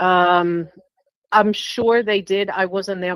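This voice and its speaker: A woman speaks in a New York accent at a very slow pace. Her pitch is fairly low and her intonation fairly even. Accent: New York accent, noticeable. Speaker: reading recipient. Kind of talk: casual chat.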